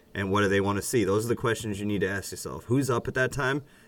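An unremarkable speaking voice with ordinary pitch variation talks with an American accent. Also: man. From Boston area, US. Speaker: podcast co-host. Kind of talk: casual chat.

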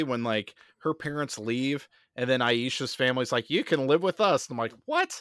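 The sound is dry and close, with no echo and a very clean, silent background. The pace is moderate and the pitch varies in an ordinary way. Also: man. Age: 30s. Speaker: YouTuber on fan conspiracy theories. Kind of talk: casual chat.

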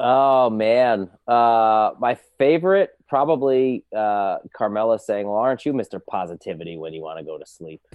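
Speaking in a plain, everyday voice, a man with an American accent uses medium pitch and lively intonation at a moderate pace. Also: big swings in loudness. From New Jersey. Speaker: podcast guest, Sopranos fan. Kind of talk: casual chat.

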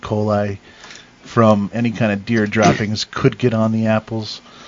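This man's voice sits at a fairly low pitch. Noticeable background noise runs behind him. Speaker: cider maker, home-brew supplier. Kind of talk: casual chat.

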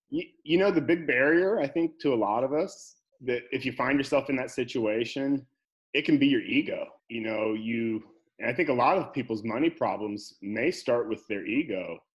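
A man talks at a moderate pace with lively intonation and a medium pitch. He has an unremarkable speaking voice. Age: 40s. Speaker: financial advisor. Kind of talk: interview.

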